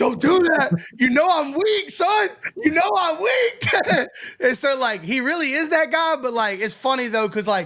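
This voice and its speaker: Noticeable background noise sits behind a speaker with an American accent. The pitch swings very widely. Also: man, extremely high pitch for a man. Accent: Southern, heavy when excited. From North Carolina. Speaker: podcast co-host. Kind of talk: casual chat. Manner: fast when excited.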